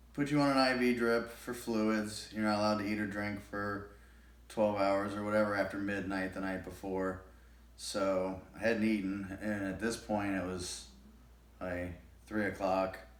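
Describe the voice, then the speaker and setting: A man mumbles with a fairly low pitch. His intonation remains fairly even. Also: moderate pace. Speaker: shoulder surgery patient. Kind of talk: casual talk to camera. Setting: home, TV on in background. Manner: mumbling, hesitant.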